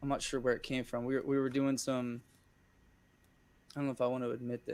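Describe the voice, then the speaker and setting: A man talks very fast with an American accent, his intonation monotone and flat. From central Pennsylvania. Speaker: singer-songwriter and volunteer firefighter. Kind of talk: casual chat. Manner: halting.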